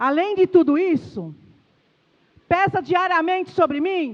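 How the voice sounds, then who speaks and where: Extremely high in pitch and animated in tone, a woman speaks at a fairly slow pace. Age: 60s. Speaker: pastor. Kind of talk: sermon.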